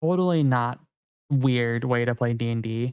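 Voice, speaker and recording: The voice is a man's. It sits at a medium pitch. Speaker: video game streamer. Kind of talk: casual live stream chat. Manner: fast.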